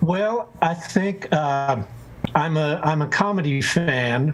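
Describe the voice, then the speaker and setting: Noticeable background noise under a man's voice pitched fairly high. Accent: American. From Texas (Houston). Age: 60s. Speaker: saxophone player. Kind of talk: casual interview chat.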